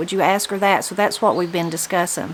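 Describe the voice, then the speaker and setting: A woman with a Southern Appalachian accent speaks at a medium pitch over noticeable background noise. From Appalachia, western North Carolina. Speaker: interviewer. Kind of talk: casual interview.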